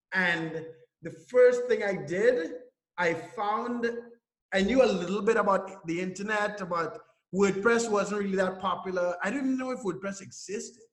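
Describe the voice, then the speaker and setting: A man's high-pitched voice at a moderate pace, with ordinary pitch variation and audible room echo. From Trinidad and Tobago. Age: 30s. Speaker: online entrepreneur. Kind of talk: interview. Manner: casual, with fillers and restarts.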